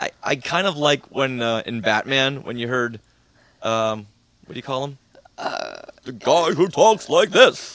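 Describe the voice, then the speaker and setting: At a fairly slow pace, a man with an unremarkable speaking voice talks at a fairly high pitch with big swings in loudness. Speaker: podcast guest and Star Wars fan. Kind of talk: casual chat.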